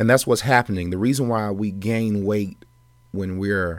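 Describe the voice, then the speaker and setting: A man talks at a moderate pace with a fairly low pitch and fairly even intonation, an ordinary speaking voice. The recording is very clean, with a silent background. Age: 30s. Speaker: podcast host, wellness doctor. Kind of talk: solo podcast monologue. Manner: casual, with fillers.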